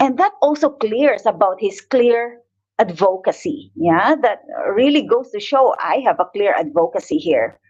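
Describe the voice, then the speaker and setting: A woman's high voice with a strong Filipino accent, at a fairly slow pace and with very wide pitch swings. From Philippines. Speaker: image consultant and coach. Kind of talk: online live talk with presentation. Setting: livestream on Facebook and YouTube.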